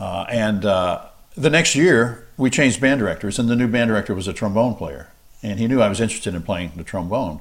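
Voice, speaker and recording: A man with a normal speaking voice and fairly low pitch talks at a fairly quick pace with lively intonation. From US South, South Mississippi. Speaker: trombonist and studio musician. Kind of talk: interview.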